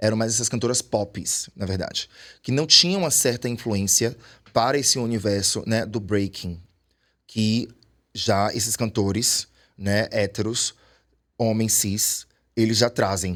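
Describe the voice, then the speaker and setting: Recorded very cleanly against a silent background, a man speaks fairly slowly with long, frequent pauses. His pitch is medium, with ordinary variation. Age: 40s. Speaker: urban dancer. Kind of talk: podcast interview.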